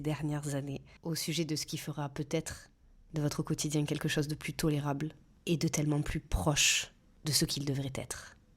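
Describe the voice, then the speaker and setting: A woman speaks with a very deep, low pitch in a monotone, flat delivery. The recording is very clean, with a silent background. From southeastern France, small town. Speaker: podcast host, journalist and dietitian. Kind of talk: scripted podcast monologue. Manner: trying to smooth out her accent.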